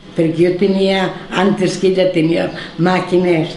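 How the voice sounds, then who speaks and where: A woman speaks at a very slow pace with a fairly low pitch. Audible room echo and light background noise surround her voice. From Valencian, Marina Baixa. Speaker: village elder interviewee. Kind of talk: oral history interview answer. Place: home room.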